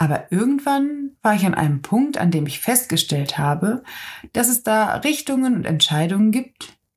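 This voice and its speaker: Somewhat breathy and fairly high, a woman's voice moves at a moderate pace with very wide pitch swings, recorded very cleanly against a silent background. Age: 20s. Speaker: self-development podcaster. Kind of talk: personal reflective monologue.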